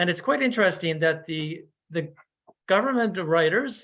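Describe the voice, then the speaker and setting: Talking at a fairly quick pace, a man with a high pitch speaks in a Newfoundland accent. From Newfoundland, Canada. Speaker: Jesuit priest and ecology researcher. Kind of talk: webinar lecture. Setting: online webinar. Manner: halting, with frequent fillers.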